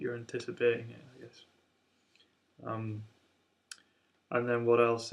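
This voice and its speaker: A man mumbles his words. His pace is fairly slow. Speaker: amateur jazz guitarist. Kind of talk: casual talk to camera. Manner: mumbling, hesitant.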